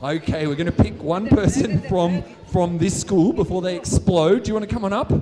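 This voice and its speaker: Upbeat in tone, a man with an Australian accent talks at a fairly quick pace and a high pitch. Noticeable background noise runs underneath. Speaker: science show performer. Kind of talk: live science show for a school audience. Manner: high-energy, upbeat.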